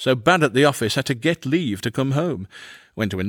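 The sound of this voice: An unforced reading voice with lively intonation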